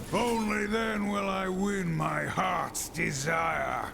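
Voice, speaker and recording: Loud background noise sits under a man's put-on character voice. He speaks at a very slow pace. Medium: game stream. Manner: grim, intense.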